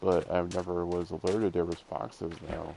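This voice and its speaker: Noticeable background noise accompanies a man whose voice is very deep and low. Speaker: gaming streamer. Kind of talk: casual gameplay commentary. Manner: rambling, halting with repetitions.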